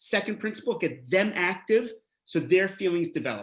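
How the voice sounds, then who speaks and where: A man with a Canadian accent speaks in an animated tone with vocal fry. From Canada, Montreal. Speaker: rabbi and educator. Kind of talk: lecture.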